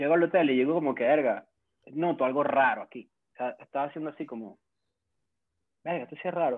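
A man talks at a very fast pace in a fairly high pitch, with big swings in loudness. Long, frequent pauses break up his speech. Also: ordinary pitch variation. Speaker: content creator. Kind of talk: casual chat.

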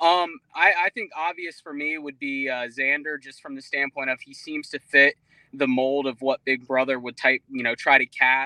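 A man with an American accent speaks at a moderate pace in a fairly high pitch, his bright, sharp tone flat and monotone while his loudness swings widely, recorded dry and close with no echo. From Jacksonville, Florida. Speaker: reality TV podcast host. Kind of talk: casual group chat.

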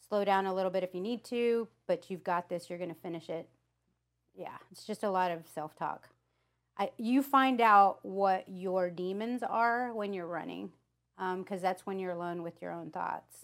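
A woman with a plain, everyday voice and medium pitch talks at a moderate pace, with ordinary pitch variation and big swings in loudness. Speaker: mortgage lending manager. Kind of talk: casual interview.

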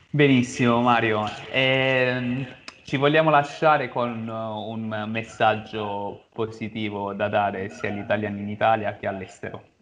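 Set against noticeable background noise, the voice proceeds at a fairly slow pace with fairly even intonation. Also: man, medium pitch for a man. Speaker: interviewer. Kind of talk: interview. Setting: video call.

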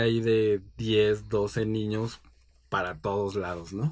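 A man's fairly low voice at a very slow pace, in a very clean recording with a silent background. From Mexico City. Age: 40s. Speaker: book editor. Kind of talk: casual interview.

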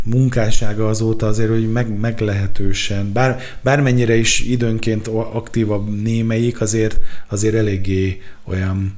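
A man's speech is heard with audible room echo and noticeable background noise. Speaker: culture journalist. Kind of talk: casual chat about music. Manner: halting.

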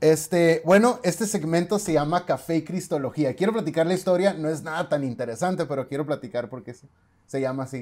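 A man with a fairly high pitch speaks at a fairly quick pace, with ordinary pitch variation and big swings in loudness, on a very clean recording with a silent background. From Mexicali, Baja California, Mexico. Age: 30s. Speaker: podcast host and theology student. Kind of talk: casual chat.

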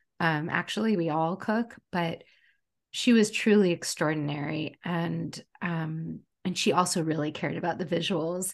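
In an unremarkable speaking voice, a woman talks at a moderate pace with a fairly low pitch and ordinary pitch variation against a quiet background. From United States. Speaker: chef and food writer. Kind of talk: casual interview chat.

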